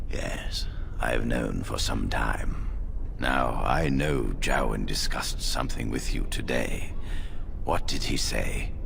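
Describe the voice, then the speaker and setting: Over loud background noise, a put-on character voice moves at a fairly slow pace. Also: man. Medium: machinima. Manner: authoritative, measured.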